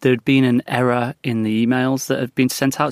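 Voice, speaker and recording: Speaking at a moderate pace in a northern English accent, a man is captured on a very clean recording with a silent background. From northern England, West Lancashire. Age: 30s. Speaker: former government communications director. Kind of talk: interview. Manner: hesitant, with many fillers.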